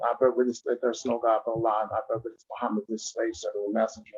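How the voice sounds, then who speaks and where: A man is speaking. He talks at a very fast pace. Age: 60s. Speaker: community activist. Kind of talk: online forum discussion. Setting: video call. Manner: animated.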